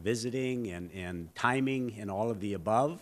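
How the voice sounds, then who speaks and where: With an Upper Midwest accent, a man speaks at a moderate pace, his pitch fairly low with ordinary variation. The recording is very clean, the background silent. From North Dakota, Fargo. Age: 60s. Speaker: mayoral candidate. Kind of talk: candidate forum speech. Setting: public forum with audience, televised.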